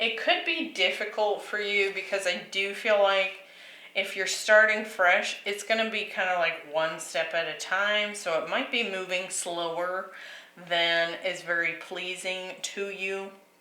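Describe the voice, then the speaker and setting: In a room with audible echo, a woman speaks at a medium pitch and a very slow pace. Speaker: tarot reader. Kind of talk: tarot reading monologue. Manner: halting with many fillers.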